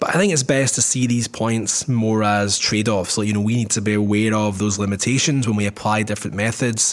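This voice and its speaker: This man speaks in a Scottish accent. His voice is fairly low, with fairly even intonation. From Scotland. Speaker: podcast co-host, market researcher. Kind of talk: casual chat.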